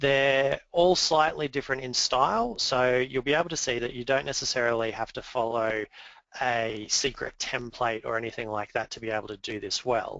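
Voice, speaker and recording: A man speaks with an Australian accent. His pitch varies in an ordinary way. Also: medium pitch for a man, moderate pace. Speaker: awards executive chair presenting a webinar. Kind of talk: webinar presentation. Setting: webinar. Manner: hesitant fillers (um, uh).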